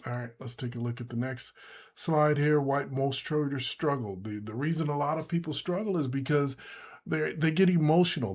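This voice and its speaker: In a very clean recording with a silent background, a man has a plain, everyday voice, a fairly high pitch and ordinary pitch variation. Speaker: day trading instructor. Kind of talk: tutorial. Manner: casual, with many fillers.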